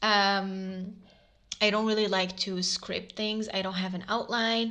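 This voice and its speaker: With an Arabic accent, a woman speaks at a fairly slow pace in a medium pitch, her tone bright and sharp. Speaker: podcast host. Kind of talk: casual monologue. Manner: hesitant, many fillers.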